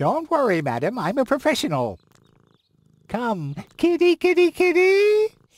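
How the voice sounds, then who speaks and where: Using a put-on character voice, the speaker talks in a high pitch with long, frequent pauses. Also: moderate pace. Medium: video game. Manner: eager, officious.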